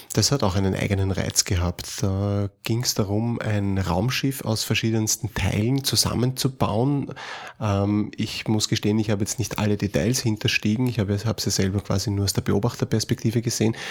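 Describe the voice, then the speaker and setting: In a slight Austrian accent, a man with a fairly low pitch talks at a moderate pace, his intonation fairly even and his loudness very even. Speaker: podcast host, role-playing game designer. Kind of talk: casual chat.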